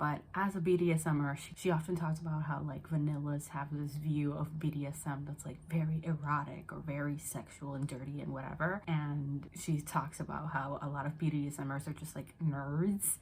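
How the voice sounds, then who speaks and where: Soft-spoken and with an American accent, a woman with a very deep, low pitch speaks in a monotone, flat intonation with hardly any pauses. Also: moderate pace. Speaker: book YouTuber. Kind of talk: casual vlog. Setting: parents' house at night.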